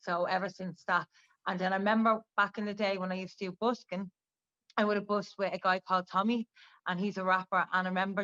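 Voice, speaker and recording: A woman at medium pitch with a Dublin accent, very fast, with monotone, flat intonation and a bright, sharp tone, in a dry, close sound with no echo and a quiet background. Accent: Dublin Irish. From Ireland, Dublin. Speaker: rapper. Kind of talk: interview.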